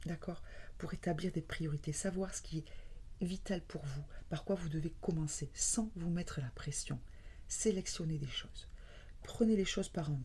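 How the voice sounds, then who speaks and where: A soft-spoken woman talks at a fairly slow pace. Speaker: tarot reader. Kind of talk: tarot reading.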